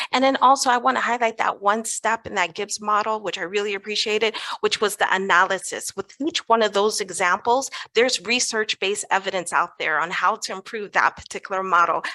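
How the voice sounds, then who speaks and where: A bright, sharp-toned woman at a fairly quick pace with ordinary pitch variation, dry and close with no echo. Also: medium pitch for a woman. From US West Coast (Los Angeles, California). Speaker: educator and positive psychologist, conference speaker. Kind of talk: conference presentation.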